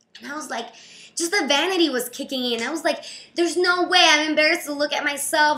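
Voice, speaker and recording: A woman speaks in a raised, projected voice with a bright, sharp tone. Her delivery is animated, with ordinary pitch variation. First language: not English. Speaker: video blogger and creative business coach. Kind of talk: casual vlog. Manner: fast.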